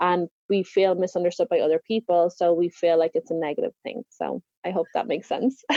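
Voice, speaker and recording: With an Irish accent, a woman talks at a fairly quick pace and fairly low pitch, with hardly any pauses. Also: ordinary pitch variation. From Ireland. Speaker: confidence coach. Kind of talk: podcast interview.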